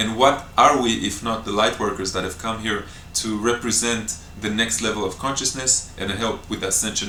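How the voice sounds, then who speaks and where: Someone with an Israeli accent talks at a fairly quick pace, with audible room echo around the voice. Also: man. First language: Hebrew. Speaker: breatharian retreat teacher. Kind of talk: Q&A talk to camera. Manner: spontaneous, with hesitations.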